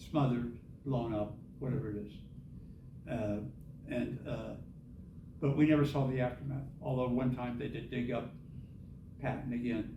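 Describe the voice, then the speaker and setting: Speaking at a moderate pace with long, frequent pauses, a man with an American accent is heard amid audible room echo. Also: medium pitch for a man. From US Midwest, Indianapolis, Indiana. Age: 70s. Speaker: author and Vietnam veteran. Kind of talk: author talk Q&A.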